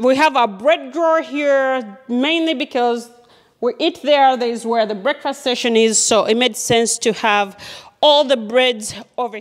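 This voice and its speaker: The speaker moves at a fairly slow pace with ordinary pitch variation. The background is quiet. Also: woman, high pitch for a woman. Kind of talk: casual home tour chat. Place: kitchen.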